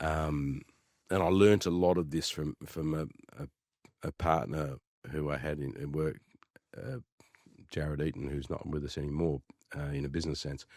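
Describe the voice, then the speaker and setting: A man's very deep, low voice with an Australian accent, at a moderate pace with long, frequent pauses and fairly even intonation, in a dry, close sound with no echo. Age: 60s. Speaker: real estate agent. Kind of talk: casual interview. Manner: halting.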